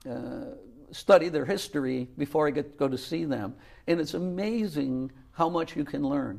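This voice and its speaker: Using an unremarkable speaking voice, a man with a fairly high pitch talks at a moderate pace with ordinary pitch variation. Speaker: retired college volleyball coach. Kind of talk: interview.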